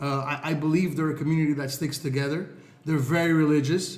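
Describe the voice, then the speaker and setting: Somewhat breathy and fairly high in pitch, a man talks in a monotone, flat way. Audible room echo surrounds his voice. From Montreal, Quebec, Canada. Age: 30s. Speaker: social media influencer. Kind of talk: podcast interview. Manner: halting, many fillers and repeated words.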